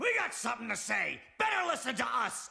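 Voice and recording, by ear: Using a cartoonish character voice, a man talks fairly quickly at an extremely high pitch.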